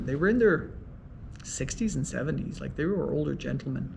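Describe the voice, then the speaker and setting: A man with an Irish accent, talking at a fairly quick pace, with audible room echo. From Ireland. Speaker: mediator and law professor. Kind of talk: interview.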